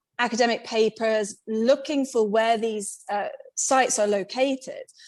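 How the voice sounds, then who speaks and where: This woman has a British accent, a fairly high pitch, and fairly even intonation. The recording is very clean, with a silent background. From Britain. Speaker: independent megalith researcher. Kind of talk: podcast interview.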